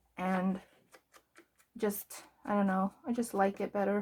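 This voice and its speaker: A woman's tone is relaxed and somewhat breathy, with monotone, flat intonation. Her pace is very slow. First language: Afrikaans. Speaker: journaling vlogger. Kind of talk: casual craft tutorial chat. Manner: relaxed, hesitant with fillers.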